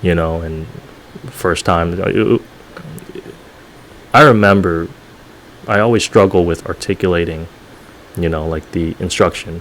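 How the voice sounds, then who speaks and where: Very deep and low in pitch, a man talks at a fairly slow pace with ordinary pitch variation. Long, frequent pauses break up his speech over noticeable background noise. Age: young. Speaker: former police officer. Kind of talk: casual interview chat. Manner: hesitant, many fillers.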